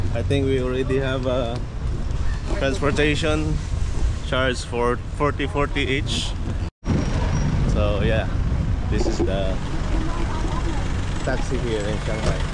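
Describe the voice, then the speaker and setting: Fairly slow speech broken by long, frequent pauses, against loud background noise. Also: man. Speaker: backpacker vlogger. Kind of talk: casual vlog chat. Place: station. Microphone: phone near.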